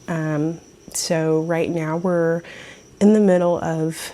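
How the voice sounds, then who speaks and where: Soft-spoken, a woman talks with a fairly low pitch and a dark, mellow tone. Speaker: knitting vlogger. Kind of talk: casual show-and-tell vlog. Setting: at home, early morning. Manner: quiet, soft-spoken.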